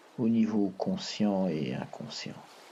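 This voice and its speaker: A man's very slow, soothing-toned speech. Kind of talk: hypnosis relaxation guide. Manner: soft, slow, soothing.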